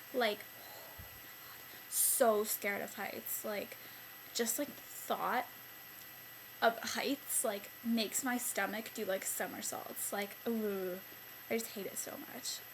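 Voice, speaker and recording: A fairly high-pitched woman at a very slow pace, fairly even intonation, big swings in loudness, noticeable background noise throughout. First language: Italian. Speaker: beauty vlogger. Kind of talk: casual vlog monologue. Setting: bedroom at night. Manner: chatty, filler-heavy.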